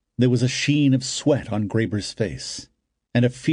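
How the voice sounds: The clip has a natural reading voice with ordinary pitch variation. The background is quiet.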